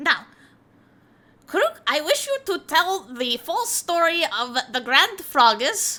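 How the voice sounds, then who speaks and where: A woman speaks in a put-on character voice at an extremely high pitch. Her pace is fairly slow, and her pitch swings very widely. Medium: virtual streamer. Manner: grandiose, formal.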